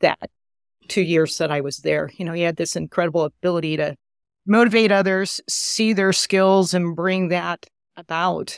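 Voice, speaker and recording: A woman with a normal speaking voice talks at a moderate pace, her fairly low pitch held in fairly even intonation. The recording is very clean and dry, close with no echo, over a silent background. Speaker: pediatric ENT surgeon and division chief. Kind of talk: moderated professional discussion.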